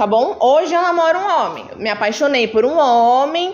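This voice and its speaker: Audible room echo and noticeable background noise surround a woman speaking at a fairly slow pace. Her voice is high, with lively intonation. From Sorocaba, São Paulo state, Brazil. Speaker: company diversity group member. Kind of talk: talk to students.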